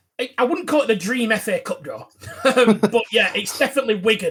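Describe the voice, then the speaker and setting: A man with a strong Lancashire accent, fairly quick, his pitch moving in an ordinary way. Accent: strong Bolton. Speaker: football podcast co-host. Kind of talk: casual podcast chat.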